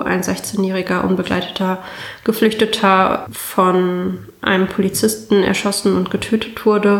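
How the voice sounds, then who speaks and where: A woman's medium-pitched voice at a very slow pace, with noticeable background noise. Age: 20s. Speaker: state parliament member. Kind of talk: interview.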